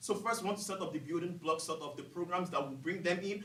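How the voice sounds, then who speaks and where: A man talks very fast in a high voice with a non-native accent. The recording has audible room echo and noticeable background noise. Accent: foreign. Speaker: student business competition presenter. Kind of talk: case competition presentation.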